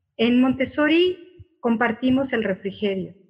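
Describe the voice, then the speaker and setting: Speaking at a moderate pace, a woman has an unremarkable speaking voice. Her pitch is fairly high. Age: 50s. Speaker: Montessori guide and psychotherapist. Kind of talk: casual interview.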